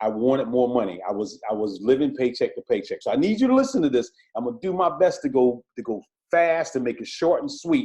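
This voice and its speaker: A man with a Southern US accent, very fast and animated, excited in tone. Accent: country, Southern US. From South Carolina. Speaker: police officer promoting a direct sales business. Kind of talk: sales pitch.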